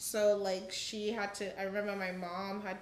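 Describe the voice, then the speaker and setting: Speaking at a moderate pace with monotone, flat intonation, a woman is heard through noticeable background noise and audible room echo. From Uganda. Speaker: podcast guest. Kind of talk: casual chat.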